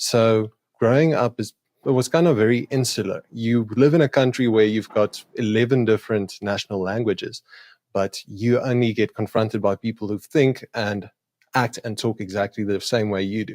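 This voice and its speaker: With a South African accent, a man speaks with ordinary pitch variation in a very clean recording with a silent background, the sound dry and close with no echo. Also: medium pitch for a man, moderate pace. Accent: Afrikaans South African English. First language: Afrikaans. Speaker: YouTube creator doing street epistemology conversations. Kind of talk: podcast interview.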